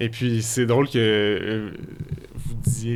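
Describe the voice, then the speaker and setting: A man's voice at medium pitch. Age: 30s. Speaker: filmmaker. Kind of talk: radio interview. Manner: halting.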